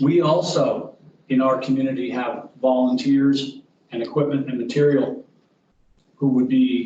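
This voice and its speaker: Speaking at medium pitch, a man has a dark, mellow tone and fairly even intonation. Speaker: boating club leader. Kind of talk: public submission at council meeting. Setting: community board meeting.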